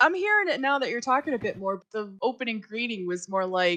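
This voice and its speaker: The woman's tone is bright and sharp. She talks with an American accent. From US Midwest, Chicago. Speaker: podcast host and author. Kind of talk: casual chat.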